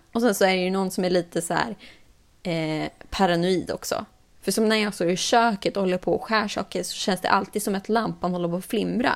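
A woman with an unremarkable speaking voice talks at a fairly quick pace. Her medium pitch shows ordinary variation. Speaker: podcast host. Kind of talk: casual chat.

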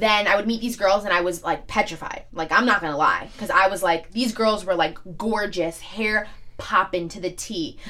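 A woman speaks at a moderate pace with hardly any pauses, her pitch medium with ordinary variation. Noticeable background noise sits behind her. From New York, Staten Island. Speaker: social media influencer. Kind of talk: casual chat.

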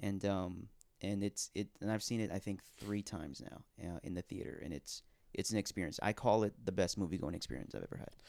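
On a very clean recording with a silent background, a man speaks at a fairly quick pace, his fairly low voice dark and mellow with vocal fry and ordinary pitch variation. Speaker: guest co-host. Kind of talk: casual chat.

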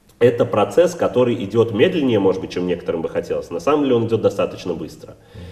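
Barely pausing, a man speaks at a very fast pace with big swings in loudness. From Russia, St. Petersburg. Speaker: rabbi and community head. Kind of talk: interview.

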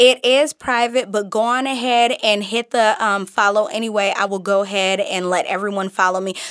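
A woman with an American accent and a fairly high pitch talks in an animated tone at a moderate pace, with hardly any pauses, in a very clean recording with a silent background. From Midwest US, Detroit, Michigan. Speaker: personal development coach. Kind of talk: casual chat. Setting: studio.

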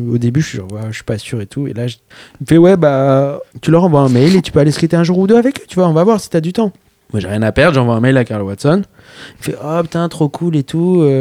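A man with a fairly high pitch speaks at a fairly quick pace with very wide pitch swings, in a dry, close sound with no echo. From Paris, France. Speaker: skateboarder. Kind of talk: casual chat.

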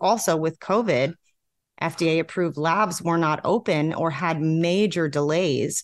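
A woman with a normal speaking voice talks at a fairly low pitch, her intonation fairly even against a quiet background. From New York. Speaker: vaping advocate. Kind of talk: interview.

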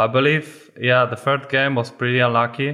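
Against a silent background in a very clean recording, a man with a Polish accent speaks at a moderate pace in a medium-pitched voice with a bright, sharp tone. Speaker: esports player. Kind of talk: casual chat.

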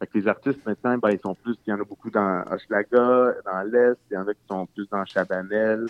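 A man with a Quebec accent talks at a moderate pace with hardly any pauses, his loudness swinging widely. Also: fairly low pitch for a man, fairly even intonation. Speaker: documentary filmmaker. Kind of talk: interview. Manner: halting.

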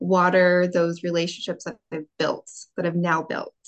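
In an American accent, a woman uses an ordinary speaking voice at a medium pitch and a fairly slow pace. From California. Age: 20s. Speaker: military spouse. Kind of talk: casual chat.

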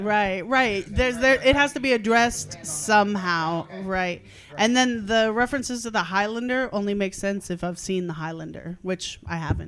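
A woman speaks at medium pitch and a moderate pace, with hardly any pauses and ordinary pitch variation. Hers is a plain, everyday voice, though her loudness swings widely. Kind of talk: casual critique, workshop.

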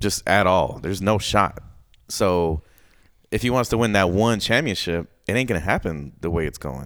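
A man speaks at a moderate pace with lively intonation and a very deep, low pitch. The recording is very clean, with a silent background. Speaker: podcast host. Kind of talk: casual chat. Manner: casual, joking.

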